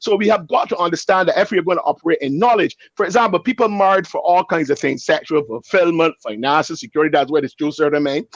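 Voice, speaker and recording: Loud and animated, a man with a high pitch speaks at a very fast pace with lively intonation, the sound dry and close with no echo. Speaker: pastor. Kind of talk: panel discussion.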